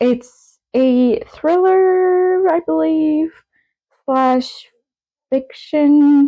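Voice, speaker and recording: A woman talks very slowly in a high pitch with a dark, mellow tone and ordinary pitch variation. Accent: French Canadian. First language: French. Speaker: book vlogger. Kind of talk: casual vlog talk.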